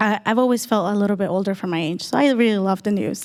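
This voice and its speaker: A woman with a Spanish accent, fairly high pitch and ordinary pitch variation. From El Salvador. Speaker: panel speaker. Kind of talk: personal story talk.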